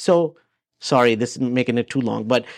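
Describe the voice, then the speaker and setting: A man with a non-native accent and lively intonation at a moderate pace, dry and close with no echo, over a quiet background. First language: not English. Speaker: real estate agent. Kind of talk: casual interview. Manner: hesitant, many fillers and repeats.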